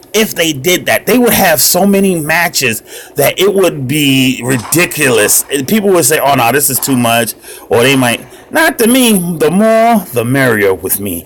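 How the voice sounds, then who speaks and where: An animated, loud voice moves at a moderate pace with very wide pitch swings. Noticeable background noise is present. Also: man, fairly high pitch for a man. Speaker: mobile gaming youtuber. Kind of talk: casual gameplay commentary.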